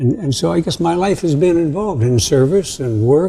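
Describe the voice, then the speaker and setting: With a dark, mellow tone and a somewhat breathy sound, a man talks at a moderate pace with lively intonation. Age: 80s. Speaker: retired educator and community foundation founder. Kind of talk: casual chat.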